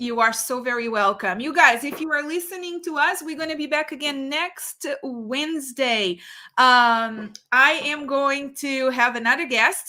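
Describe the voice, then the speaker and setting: In a very clean recording with a silent background, a woman raises and projects her high-pitched voice, with a bright, sharp tone, ordinary pitch variation and a fairly slow pace. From Portugal. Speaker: realtor and show host. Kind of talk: interview.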